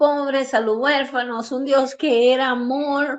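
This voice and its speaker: This woman speaks with a high pitch. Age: 60s. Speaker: prophet and preacher. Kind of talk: testimony.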